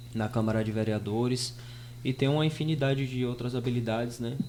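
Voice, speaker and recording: Audible room echo surrounds a voice speaking at a moderate pace in a monotone, flat intonation. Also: man. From Brazil, Bahia sertão (Piritiba). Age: 20s. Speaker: rapper and radio host, podcast guest. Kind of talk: podcast interview.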